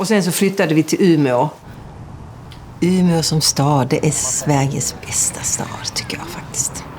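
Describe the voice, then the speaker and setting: Speaking at a fairly slow pace, a woman has a very deep, low pitch and ordinary pitch variation, with noticeable background noise behind her. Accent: Scanian. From southern Sweden (Lund), early childhood in Denmark. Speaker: intensive care nurse. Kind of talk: documentary interview.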